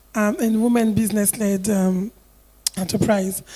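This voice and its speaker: In a French accent, a woman with a fairly high pitch and a dark, mellow tone speaks at a fairly slow pace with fairly even intonation. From Côte d'Ivoire. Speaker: investor, investment club vice president. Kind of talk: panel discussion.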